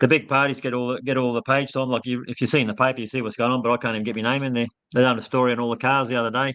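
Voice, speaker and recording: A man at medium pitch races along at a very fast pace with hardly any pauses, his intonation monotone and flat. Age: 60s. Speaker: election candidate. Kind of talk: casual interview.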